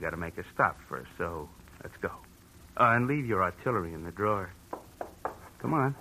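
A man's put-on character voice, low-pitched with vocal fry, bright and sharp in tone, with lively intonation at a moderate pace

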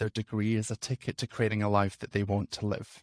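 Over a silent background on a very clean recording, a man with a Scottish accent talks at a fairly quick pace. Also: dry, close sound with no echo. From Scotland. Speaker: nurse and career coach. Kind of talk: casual interview chat.

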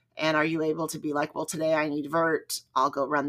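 In a very clean recording with a silent background, a woman speaks at a moderate pace, her very deep, low voice bright and sharp in tone. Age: 40s. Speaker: running podcast host. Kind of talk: solo podcast monologue. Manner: rambling conversational.

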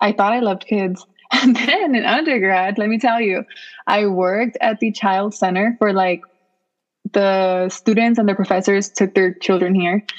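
A plain, everyday voice with an American accent, fairly even intonation and very even loudness. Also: woman, medium pitch for a woman, moderate pace. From US West Coast, Los Angeles (Boyle Heights). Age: 20s. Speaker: PhD student. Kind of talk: interview.

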